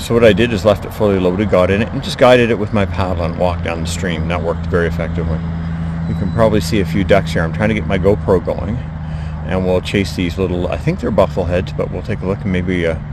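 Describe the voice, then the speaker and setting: A very fast man's voice, very deep and low in pitch, with audible room echo and noticeable background noise. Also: ordinary pitch variation. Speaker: outdoor vlogger, paddler. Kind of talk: casual outdoor vlog narration. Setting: outdoors on a creek. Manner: quiet, hushed.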